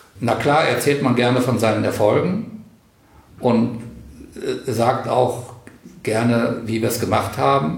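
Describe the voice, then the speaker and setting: Talking at a very slow pace with long, frequent pauses and ordinary pitch variation, a man is heard through audible room echo and noticeable background noise. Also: medium pitch for a man. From northern Hesse, Weser valley. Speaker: retired teacher and cultural organizer. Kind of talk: interview.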